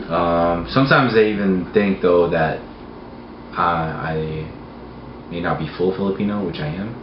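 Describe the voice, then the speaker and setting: Long, frequent pauses break up a moderate pace, with audible room echo and noticeable background noise. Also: man, very deep, low pitch for a man, ordinary pitch variation. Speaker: interviewee. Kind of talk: interview. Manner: hesitant, many fillers.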